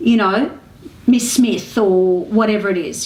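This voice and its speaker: Over noticeable background noise, a woman with an Australian accent speaks with ordinary pitch variation. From Melbourne, Australia. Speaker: actress, comedian. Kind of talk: interview answer.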